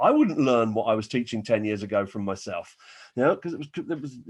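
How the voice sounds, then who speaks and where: A man with an English accent, animated in tone, with very wide pitch swings and a fairly quick pace. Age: 60s. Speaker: business coach. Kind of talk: webinar presentation.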